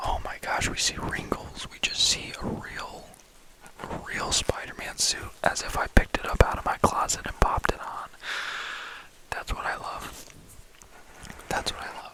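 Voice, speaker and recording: Whispering at a moderate pace in a relaxed tone, with long, frequent pauses and noticeable background noise. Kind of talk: ASMR ramble, casual talk to camera about movies. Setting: close microphone with mic brushing and tapping sounds. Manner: relaxed, soft-spoken.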